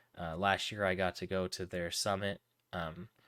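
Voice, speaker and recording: A soft-spoken man talks in a very deep, low voice with a bright, sharp tone and monotone, flat intonation. The recording is very clean with a silent background, dry and close with no echo. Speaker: livestream charity fundraiser host. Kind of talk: live stream chat with viewers. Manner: halting, many fillers.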